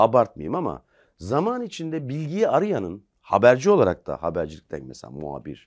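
Very wide pitch swings and big swings in loudness at a moderate pace. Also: man, medium pitch for a man. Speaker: investigative journalist and author. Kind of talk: interview.

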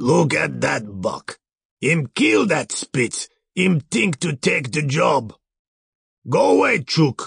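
Putting on a character voice, a man speaks fairly high for a man at a very slow pace, leaving long, frequent pauses. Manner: excitable, gleeful.

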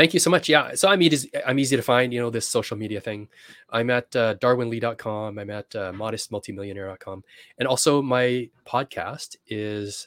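A man with a Canadian accent talks fairly quickly in a plain, everyday voice of medium pitch, with ordinary pitch variation and big swings in loudness. The recording is very clean, dry and close, with a silent background and no echo. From Canada. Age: 40s. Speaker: coach and investor. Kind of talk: interview podcast.

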